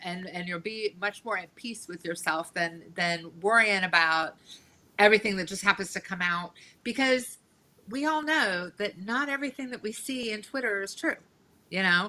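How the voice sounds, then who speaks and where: Loud, bright, sharp speech from a woman at medium pitch, moderate in pace, with lively intonation. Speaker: podcast guest, performer. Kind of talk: casual interview chat.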